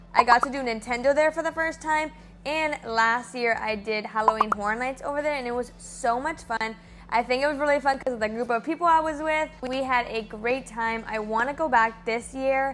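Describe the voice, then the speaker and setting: A woman with a strong Miami accent, animated tone, moderate pace, ordinary pitch variation and noticeable background noise. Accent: thick Miami. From Miami, Florida (Cuban-American). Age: 20s. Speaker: theme park vlogger. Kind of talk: casual Q&A vlog.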